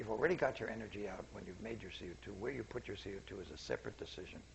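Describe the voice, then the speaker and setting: A soft-spoken man talks at a very fast pace in a fairly low voice. Audible room echo and noticeable background noise fill the recording. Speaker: seminar speaker, scientist. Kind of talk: public lecture. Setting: seminar room with audience. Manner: quiet, soft-spoken; halting, self-correcting.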